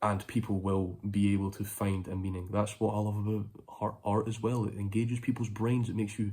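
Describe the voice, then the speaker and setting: This man's somewhat breathy voice sits at a fairly low pitch, moving at a moderate pace with monotone, flat intonation. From Scotland. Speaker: vlogger and musician. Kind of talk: casual monologue to phone camera. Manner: rambling, hesitant with fillers.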